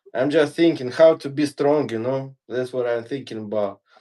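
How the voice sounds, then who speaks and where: A man's voice sits at a fairly high pitch. He talks at a fairly slow pace. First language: not English. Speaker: fitness guest. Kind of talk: casual chat during workout livestream. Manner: halting.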